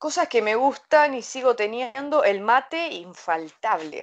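Against a quiet background, a woman speaks with a Rioplatense accent and ordinary pitch variation. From Uruguay. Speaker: interviewee living abroad. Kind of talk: interview answers. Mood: cheerful, animated. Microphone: video call.

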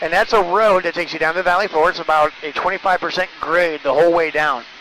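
Light background noise underlies a man speaking at a very fast pace. The sound is dry, without any echo. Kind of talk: tour guide commentary. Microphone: headset.

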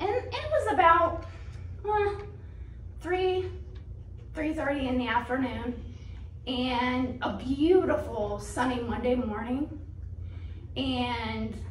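A woman speaks at a very slow pace with long, frequent pauses. Audible room echo and light background noise surround her. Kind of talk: personal testimony. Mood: earnest storytelling. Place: church.

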